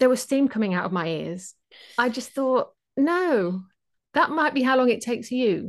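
Over a quiet background, someone speaks at a moderate pace with lively intonation in an English Midlands accent. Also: woman, high pitch for a woman. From England, Leicestershire (East Midlands). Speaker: productivity mentor. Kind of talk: interview conversation.

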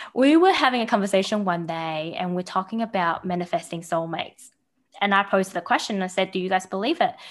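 A woman's medium-pitched voice at a very fast pace, in a very clean recording with a silent background. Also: ordinary pitch variation. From Taiwan, then New Zealand from age twelve. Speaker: coach and construction professional. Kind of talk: podcast interview.

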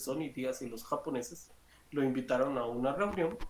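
This is an unremarkable speaking voice. It moves at a moderate pace with ordinary pitch variation. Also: man. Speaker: pop culture streamer. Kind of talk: casual chat.

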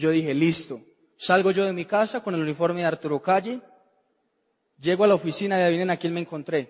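At a very fast pace but with long, frequent pauses, a man speaks with a high pitch and ordinary pitch variation. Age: 20s. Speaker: network marketing speaker. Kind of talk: motivational talk.

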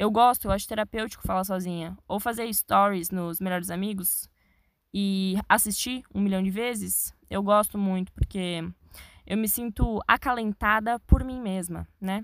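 A woman at a medium pitch, fairly slow and fairly even in intonation, on a very clean recording with a silent background. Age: young. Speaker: podcaster. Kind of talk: solo podcast monologue. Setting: inside a wardrobe. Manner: casual, chatty.

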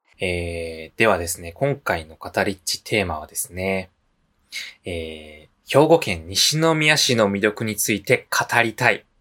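A man's fairly low, bright and sharp voice in a Kansai accent, fairly slow, with very wide pitch swings and big swings in loudness, on a very clean recording with a silent background. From Japan, Nishinomiya, Hyogo (Kansai). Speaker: podcast co-host. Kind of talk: casual chat.

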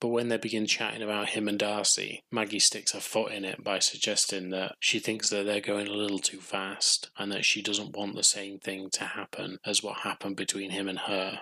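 A man with an English accent talks at a moderate pace in a fairly low, flat monotone, hardly pausing at all. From England. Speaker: podcast host. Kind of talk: solo TV recap podcast.

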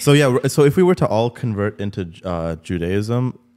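An ordinary speaking voice, this man's fairly low pitch carries ordinary pitch variation. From Canada, Sri Lankan Tamil family. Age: 20s. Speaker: podcast host. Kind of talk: casual chat.

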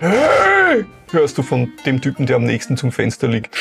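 A man puts on a character voice at a fairly high pitch. He goes at a moderate pace with clear music in the background. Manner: annoyed, irritable.

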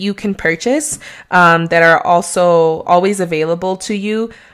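This woman's delivery is fairly slow, and her pitch varies in an ordinary way. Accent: Mexican. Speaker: real estate agent podcaster. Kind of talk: solo podcast monologue. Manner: casual, hesitant with many fillers.

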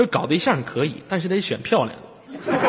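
A man's fairly high, animated voice at a fairly quick pace, with very wide pitch swings. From Inner Mongolia, rural. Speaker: late-night radio host. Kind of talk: casual call-in chat. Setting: online voice-chat room. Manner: animated, joking.

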